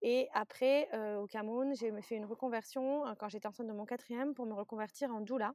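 A woman with a normal speaking voice talks at a fairly high pitch and a moderate pace. Her intonation stays fairly even, and the sound is dry and close with no echo. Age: 30s. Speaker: fertility doula. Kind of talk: interview conversation.

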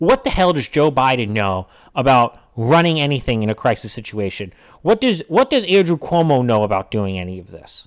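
In a very clean recording with a silent background, a man of medium pitch talks at a fairly quick pace, his loudness swinging widely and his pitch swinging very widely. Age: 30s. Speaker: political podcast host. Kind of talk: casual chat. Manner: animated.

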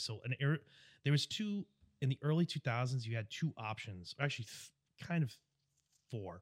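A man with a New York accent and ordinary pitch variation, in a very clean recording with a silent background and a dry, close sound with no echo. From US Northeast (Long Island, New York). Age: 30s. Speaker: airsoft player. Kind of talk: casual chat. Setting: studio. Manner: loud; animated.

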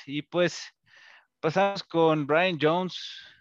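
With a dry, close sound free of echo and a quiet background, a man speaks very slowly. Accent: Mexican. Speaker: podcast co-host. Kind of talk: casual chat.

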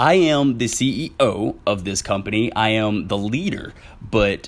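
A man talks with an animated tone in a Southern US accent. His pitch is fairly low, with ordinary pitch variation. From Southwest Arkansas. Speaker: podcast host. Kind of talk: casual solo podcast monologue.

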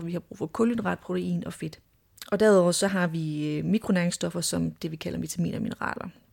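This woman talks at a moderate pace. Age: 30s. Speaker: clinical dietitian. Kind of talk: casual interview. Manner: hesitant, many filler words.

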